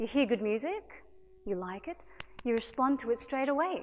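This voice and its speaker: This woman has an Australian accent and a high pitch. Her pitch swings very widely. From Australia (Sydney). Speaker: singer and violinist. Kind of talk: public talk. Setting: stage with audience. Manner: animated.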